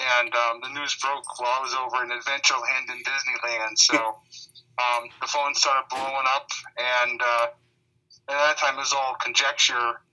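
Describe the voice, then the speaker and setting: Monotone, flat intonation marks this man's bright, sharp tone as he speaks at a medium pitch and a moderate pace. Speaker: radio host guest. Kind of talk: interview answer.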